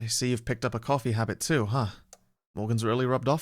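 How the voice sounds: Quiet surroundings behind a natural reading voice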